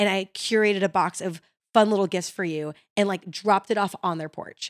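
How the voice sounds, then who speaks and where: An energetic woman with an American accent talks very fast at a medium pitch with ordinary pitch variation. The recording is very clean with a silent background, the sound dry and close with no echo. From Chicago. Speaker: realtor. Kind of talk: casual chat.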